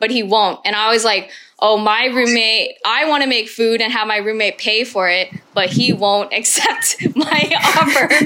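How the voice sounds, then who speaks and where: A woman's fairly high voice with an American accent, a normal speaking voice with ordinary pitch variation and very even loudness. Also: moderate pace. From Houston, Texas, US. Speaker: chef and food pop-up founder. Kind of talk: casual interview chat.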